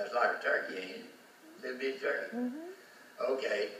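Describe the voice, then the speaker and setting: A man speaks with a Southern US accent. Noticeable background noise runs under his voice. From Florida. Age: 80s+. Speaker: farmer. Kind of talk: casual talk to camera.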